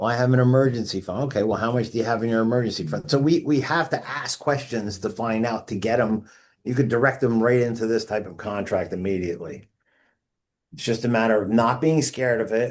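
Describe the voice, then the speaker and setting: A man at a very fast pace over a quiet background. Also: medium pitch for a man, ordinary pitch variation. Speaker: insurance agent trainer. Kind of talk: training session. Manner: repetitive stammering.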